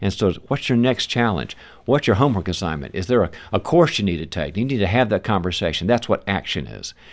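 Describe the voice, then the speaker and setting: Using lively intonation and a fairly quick pace, a man with an American accent speaks at a fairly low pitch with vocal fry. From US South. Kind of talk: interview.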